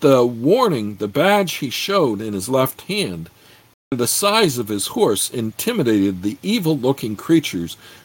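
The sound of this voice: Unforced reading voice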